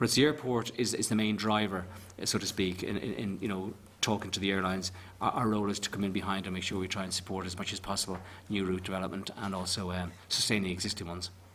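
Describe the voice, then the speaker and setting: The speaker talks at a very fast pace in a Northern Irish accent. Intonation stays fairly even. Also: man, fairly low pitch for a man. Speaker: tourism agency official. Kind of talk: committee evidence session.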